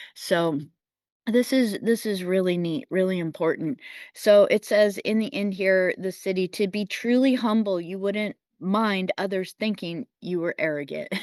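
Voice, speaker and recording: In a quiet background, a woman with an ordinary speaking voice talks at a fairly slow pace, her pitch medium and its variation ordinary. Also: dry, close sound with no echo. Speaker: spiritual astrology forecaster. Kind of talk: weekly energy forecast talk. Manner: casual, conversational.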